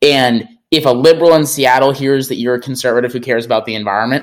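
Speaking in an American accent, a man goes at a very fast pace, his pitch varying in an ordinary way. Background silence and a very clean recording surround him. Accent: slight Wisconsin accent, shows on some words. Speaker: conservative environmental advocate. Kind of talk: interview conversation.

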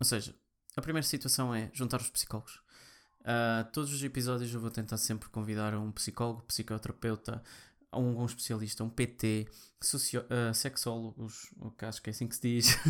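Speaking with a European Portuguese accent, a man of medium pitch keeps a moderate pace. His intonation is monotone and flat on a very clean recording with a silent background. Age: 20s. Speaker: podcast host, programmer. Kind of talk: personal monologue. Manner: halting.

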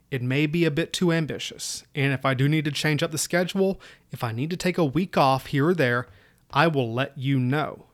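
With an Appalachian accent, a man speaks in a fairly high pitch at a moderate pace, with ordinary pitch variation. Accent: Appalachian Southern US. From US South, Southwest Virginia (Appalachia). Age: 30s. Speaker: military history podcaster, army staff sergeant. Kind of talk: solo podcast introduction. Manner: casual, self-deprecating.

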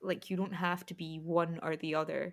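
Speaking in a Scottish accent, a woman keeps a moderate pace. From Scotland. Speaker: podcast host. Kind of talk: casual chat.

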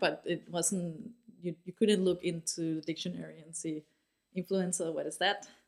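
With a Danish accent, a woman speaks at a moderate pace in a fairly low pitch and fairly even intonation. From Denmark, Aarhus. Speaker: marketing agency founder and CEO. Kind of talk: interview. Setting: studio.

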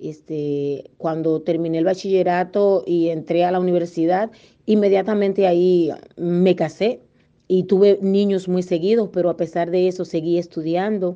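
With a Dominican accent, a woman talks at a moderate pace in a fairly low pitch, her tone dark and mellow and her intonation fairly even. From Dominican Republic. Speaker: journalist and broadcaster. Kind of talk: interview.

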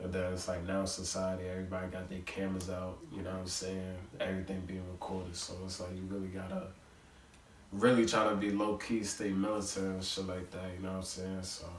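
A man speaks very fast in a very deep, low voice with flat, monotone intonation over noticeable background noise. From Long Island, New York. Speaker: guest, musician and friend of host. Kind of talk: casual chat among friends.

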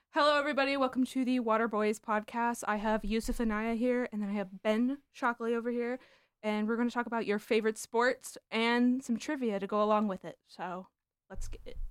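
In a normal speaking voice with an American accent, a woman talks at a fairly quick pace with fairly even intonation and fairly high pitch, the sound dry and close with no echo. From Southern California. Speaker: sports podcast host. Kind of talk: casual chat.

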